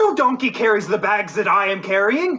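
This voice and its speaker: At a moderate pace, a man puts on a character voice at a high pitch, raised and projected. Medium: stage play. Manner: grumbling, cheeky.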